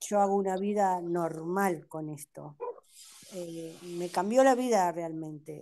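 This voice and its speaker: A woman speaks very slowly in a fairly low voice with a dark, mellow tone. Her pitch varies in an ordinary way while her loudness swings widely. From Uruguay. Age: 60s. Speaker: patient. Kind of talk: testimony. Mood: grateful, relieved. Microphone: video call.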